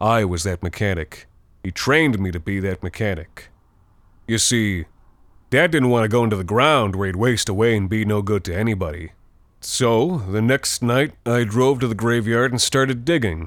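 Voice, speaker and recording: On a very clean recording with a silent background, a man with a plain, everyday voice speaks at a moderate pace and a fairly low pitch with ordinary pitch variation. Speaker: fictional mechanic narrator. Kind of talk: scripted horror monologue. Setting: audio drama. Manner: menacing; gruff, folksy, conversational.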